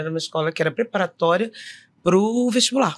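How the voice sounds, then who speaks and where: With an ordinary speaking voice, a woman talks at a fairly quick pace and medium pitch with lively intonation on a very clean recording with a silent background. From Rio de Janeiro suburbs, Brazil. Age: 50s. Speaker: actress and director. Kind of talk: interview, personal story.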